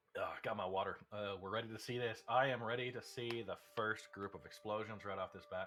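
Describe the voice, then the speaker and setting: With an American accent, a man talks at a fairly quick pace and medium pitch, in a monotone, flat intonation with hardly any pauses. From United States. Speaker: race commentator. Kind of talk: live commentary.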